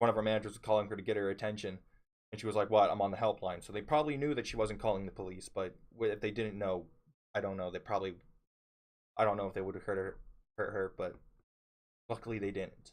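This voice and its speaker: Talking at a very fast pace yet with long, frequent pauses, a man uses a fairly low voice and fairly even intonation. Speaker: store worker. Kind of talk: casual story time talk to camera. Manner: low-voiced at times.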